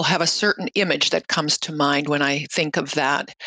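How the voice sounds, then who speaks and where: A woman's bright, sharp tone. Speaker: research scientist. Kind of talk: interview.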